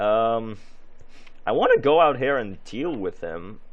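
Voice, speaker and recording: Speaking at a very slow pace, a man with a medium pitch is heard with audible room echo. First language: not English. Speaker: gaming youtuber. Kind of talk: gameplay commentary. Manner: halting, many fillers.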